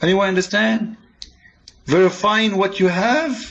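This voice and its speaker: A man with a non-native accent at a fairly slow pace, with ordinary pitch variation. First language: not English. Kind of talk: polemical religious monologue. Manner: animated; halting, repeats words.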